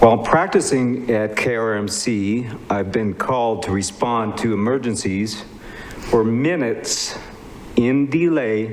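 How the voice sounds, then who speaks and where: The voice shows ordinary pitch variation, with noticeable background noise and audible room echo. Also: man. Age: 70s. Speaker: physician. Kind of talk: public testimony. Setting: public meeting. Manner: formal.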